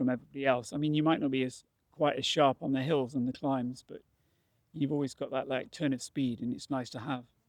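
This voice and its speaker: This man has an English accent and a fairly high pitch, talking fairly quickly with flat, monotone intonation. The sound is dry and close, with no echo. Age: 60s. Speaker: retired barrister turned masters mountain runner. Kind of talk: casual vlog talk to camera.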